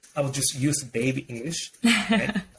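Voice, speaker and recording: The speaker is a man. His speech carries a non-native accent. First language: not English. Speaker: professor and software professional. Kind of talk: interview conversation. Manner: halting, repeats words.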